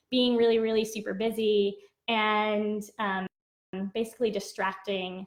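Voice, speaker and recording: The woman's delivery is monotone, with flat intonation. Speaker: dance movement therapist. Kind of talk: casual talk to camera, Q&A answers.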